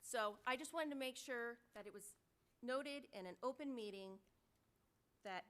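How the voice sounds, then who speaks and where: The voice is loud, bright and sharp, moving at a moderate pace with lively intonation. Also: woman. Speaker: city council member. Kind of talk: heated debate. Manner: animated.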